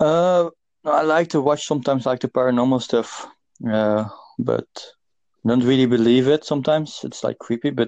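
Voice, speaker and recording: A man with a Dutch accent speaks at a fairly quick pace, with medium pitch and a dark, mellow tone. The sound is dry and close with no echo, over a quiet background. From Netherlands. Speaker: podcast host. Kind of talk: casual chat. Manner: halting.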